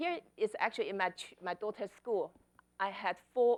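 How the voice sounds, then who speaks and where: Speaking with a Chinese accent at a moderate pace, a woman is heard in a very clean recording with a silent background. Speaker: author and speaker. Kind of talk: conference talk.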